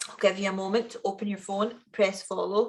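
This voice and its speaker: With a west of Scotland accent, a woman talks in an animated tone at a medium pitch against a quiet background. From Scotland, Ayrshire (Kilmarnock). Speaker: founder and event speaker. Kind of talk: keynote talk at online event.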